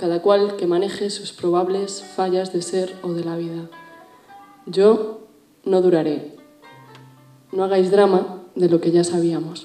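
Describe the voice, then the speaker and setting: Speaking at a very slow pace with long, frequent pauses, a woman is heard in audible room echo over faint music in the background. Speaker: spoken word poet. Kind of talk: spoken word poetry performance. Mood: intense, rhythmic delivery. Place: stage.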